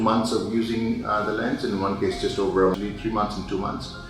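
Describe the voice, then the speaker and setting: A man's voice over background music. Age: 60s. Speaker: patient giving testimonial. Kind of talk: testimony. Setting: hospital. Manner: halting, many fillers.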